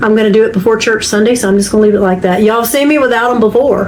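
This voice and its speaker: Over noticeable background noise and audible room echo, a woman talks at a very fast pace in a fairly high pitch. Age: 60s. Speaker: YouTuber sewing channel host. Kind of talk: casual room tour. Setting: home sewing room.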